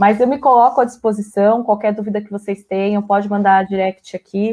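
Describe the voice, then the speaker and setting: A woman's medium-pitched, dark, mellow voice, monotone and flat in intonation, with big swings in loudness. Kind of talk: live stream interview. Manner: fast.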